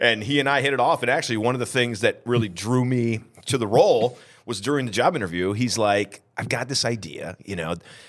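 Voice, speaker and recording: At a fairly quick pace, a man with an American accent speaks in an energetic, animated tone at a medium pitch with ordinary pitch variation. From upstate New York, Southern Tier (Vestal). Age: 40s. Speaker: historian. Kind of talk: casual interview chat.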